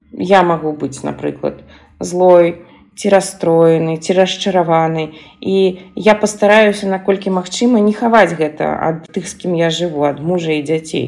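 A woman speaks fairly slowly with fairly low pitch. Hers is a plain, everyday voice with fairly even intonation. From Belarus, Minsk. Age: 40s. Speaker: gestalt therapist. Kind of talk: recorded monologue.

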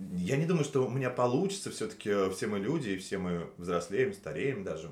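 A man speaks with lively intonation, and the room echo is audible. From Russia, Nizhny Novgorod. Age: 30s. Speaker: waiter. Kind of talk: casual interview chat. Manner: hesitant, many fillers.

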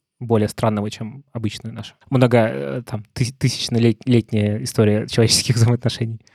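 A plain, everyday voice from a man at medium pitch, moderate pace, with ordinary pitch variation, hardly any pauses and big swings in loudness, in a dry, close sound with no echo. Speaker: podcast host. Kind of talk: casual interview.

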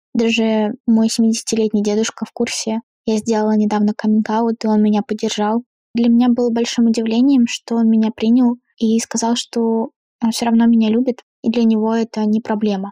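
A woman's fairly high-pitched, dark and mellow voice, flat and monotone, at a moderate pace with very even loudness in a dry, close sound free of echo. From Astrakhan, southern Russia. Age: 20s. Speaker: artist. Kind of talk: personal testimony.

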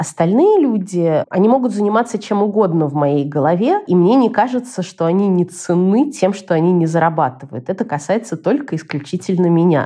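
A woman with a medium pitch speaks in a dark, mellow tone with lively intonation. Her loudness stays very even, and she hardly pauses. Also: moderate pace. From Moscow, Russia. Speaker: journalist and blogger. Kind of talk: interview.

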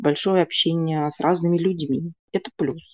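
A woman's dark, mellow voice, dry and close with no echo, over a quiet background. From Russia, Moscow. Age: 30s. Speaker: astrologer. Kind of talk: casual interview. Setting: video call.

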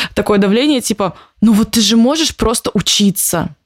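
A woman's voice sits at a fairly high pitch. She speaks at a moderate pace. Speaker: entrepreneur and business coach, co-host. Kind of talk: casual interview. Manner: casual, animated.

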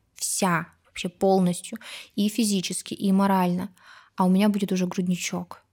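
Somewhat breathy and monotone with flat intonation, the voice holds very even loudness at a moderate pace in a very clean recording with a silent background. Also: woman, medium pitch for a woman. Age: 30s. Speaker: pediatric doctor and mother of four. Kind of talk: casual chat.

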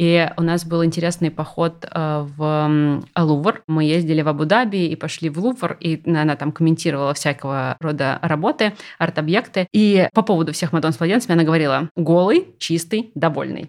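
On a very clean recording with a silent background, a woman uses an ordinary speaking voice, fairly low in pitch, with ordinary pitch variation at a moderate pace. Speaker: art historian and lecturer. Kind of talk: casual chat.

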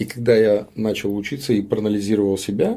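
On a very clean recording with a silent background, a man with a plain, everyday voice speaks at a fairly quick pace with a fairly low pitch. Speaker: businessman. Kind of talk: interview conversation.

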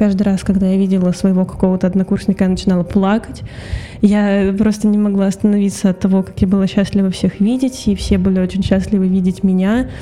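A woman talks at a very fast pace and a medium pitch, her loudness very even and her intonation monotone and flat. Noticeable background noise runs beneath her voice. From Russia, Saint Petersburg. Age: 20s. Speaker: voice actress. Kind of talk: interview.

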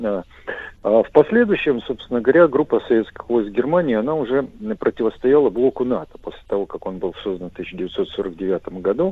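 At a moderate pace, a man with a medium pitch makes very wide pitch swings. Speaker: military historian. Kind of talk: radio interview.

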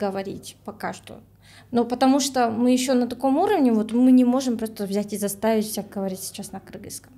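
A woman's fairly high voice with a Kyrgyz accent, dark and mellow in tone, somewhat breathy, fairly even in intonation, at a moderate pace. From Kyrgyzstan. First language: Kyrgyz (speaking Russian). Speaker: language activist, project creator. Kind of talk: podcast discussion.

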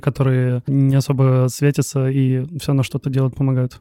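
A man speaks with a fairly high pitch. His tone is dark and mellow. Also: dry, close sound with no echo. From Russia. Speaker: podcast host. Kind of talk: casual interview chat.

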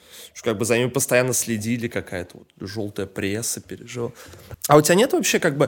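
A man talks in a normal speaking voice at medium pitch and a fairly quick pace. His loudness swings widely, while his pitch varies in an ordinary way. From Saint Petersburg, Russia. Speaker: podcast host. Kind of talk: casual chat.

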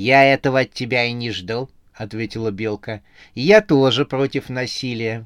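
Fairly level intonation in an unforced reading voice

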